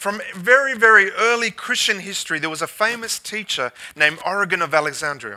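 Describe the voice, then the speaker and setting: In a raised, projected voice, a man speaks at a high pitch with lively intonation. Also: moderate pace. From Australia. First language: English (speaking French). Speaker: guest pastor. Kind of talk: sermon.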